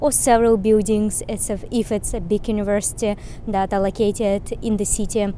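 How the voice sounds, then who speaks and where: A woman with a Russian accent at a fairly quick pace, amid noticeable background noise. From Russia, Moscow. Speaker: vlogger. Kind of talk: vlog tour and explainer.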